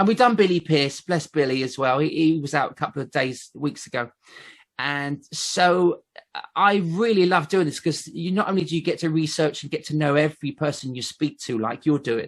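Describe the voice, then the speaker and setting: A man's fairly high voice in a southern English accent at a moderate pace, over a quiet background. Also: ordinary pitch variation. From southern England, Basingstoke. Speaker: ventriloquist. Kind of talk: casual chat.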